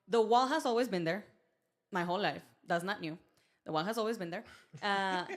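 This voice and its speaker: Woman with a Mexican accent at medium pitch, lively intonation, a fairly quick pace and long, frequent pauses, on a very clean recording with a silent background. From Mexico, Mexicali, Baja California. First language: Spanish. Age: young. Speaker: podcast guest, performer. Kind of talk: casual chat.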